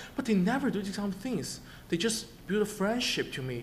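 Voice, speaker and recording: A man talks at a very fast pace with lively intonation, and the room gives off an audible echo. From China, Shanghai. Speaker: international student. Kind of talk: testimony. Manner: halting, many repetitions and fillers.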